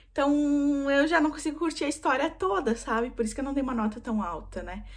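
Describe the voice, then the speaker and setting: With lively intonation and a fairly quick delivery, a woman talks in a somewhat breathy voice. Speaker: book vlogger. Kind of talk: casual book review monologue. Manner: fast.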